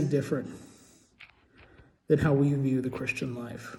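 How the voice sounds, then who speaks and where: A man talks at a moderate pace in a dark, mellow, somewhat breathy tone. Room echo is audible. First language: Portuguese. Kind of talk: casual monologue vlog. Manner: halting, many fillers and repetitions.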